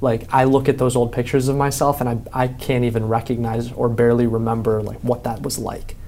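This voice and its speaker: A man with an American accent, medium pitch, ordinary pitch variation and a moderate pace, plus audible room echo. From Chicago. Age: 20s. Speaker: writer and entrepreneur. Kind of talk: interview.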